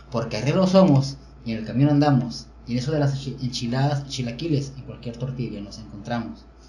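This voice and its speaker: Audible room echo surrounds a man talking at a fairly quick pace, medium in pitch with ordinary pitch variation. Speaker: podcast host. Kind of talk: casual chat. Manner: stutter.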